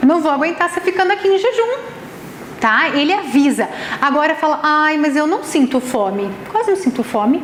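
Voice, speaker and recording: A woman with a Brazilian accent talks in a high, animated voice with very wide pitch swings, with audible room echo and noticeable background noise. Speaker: nutritionist and ayurvedic therapist giving a talk. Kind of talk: lecture. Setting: event venue with live audience.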